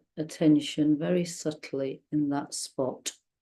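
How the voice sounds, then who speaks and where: A soft-spoken woman with a gentle, dark, mellow tone talks at a very deep, low pitch. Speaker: meditation guide. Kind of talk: guided meditation. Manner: slow, gentle.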